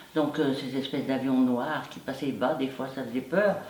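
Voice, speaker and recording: Noticeable background noise and audible room echo fill the recording. Through it, a woman talks at a moderate pace. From France, Loire (near Charlieu). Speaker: war witness. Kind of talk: testimony interview.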